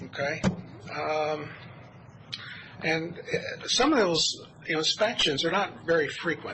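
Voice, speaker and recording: A man with a fairly high pitch speaks at a fairly slow pace, with ordinary pitch variation. Noticeable background noise sits behind him. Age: 60s. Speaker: resident speaking at public comment. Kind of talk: public comment at county meeting. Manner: halting, many fillers.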